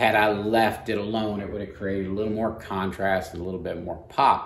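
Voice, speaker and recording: A man speaks in a fairly low voice. Audible room echo surrounds him. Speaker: airbrush art instructor. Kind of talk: tutorial. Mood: calm, explanatory. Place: workshop.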